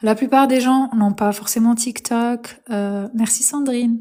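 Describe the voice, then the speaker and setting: Monotone, flat intonation runs through a voice with a dark, mellow tone. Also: woman. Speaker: spiritual coach livestreamer. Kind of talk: live stream talk. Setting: live stream. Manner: hesitant with many fillers.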